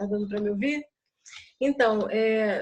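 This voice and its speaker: The speaker is a woman with fairly even intonation. Her pace is moderate. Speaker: project participant. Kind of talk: group video call discussion. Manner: soft-spoken.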